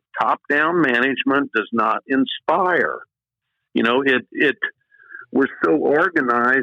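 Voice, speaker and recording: A man with an American accent talks at a fairly slow pace. He leaves long pauses often. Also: very even loudness, dry, close sound with no echo. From Indiana. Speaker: college tennis coach. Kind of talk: podcast interview. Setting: studio.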